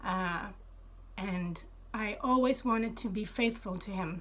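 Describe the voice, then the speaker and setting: A woman at a very slow pace with ordinary pitch variation, in audible room echo. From Sweden. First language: Swedish. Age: 30s. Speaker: former Jehovah's Witness telling her story. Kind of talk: personal testimony. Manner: halting, many fillers.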